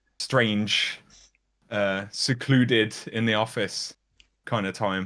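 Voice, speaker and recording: A man speaks in a fairly low, flat monotone with a bright, sharp tone. The recording is very clean, with a silent background. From Birmingham, English Midlands. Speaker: YouTuber. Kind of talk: interview. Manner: hesitant, many fillers.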